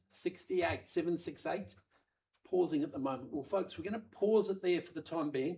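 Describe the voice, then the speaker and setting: A man with a high pitch and a slight Australian accent. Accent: slightly Australian-tinged. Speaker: auctioneer. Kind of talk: live auction calling. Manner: fast; animated.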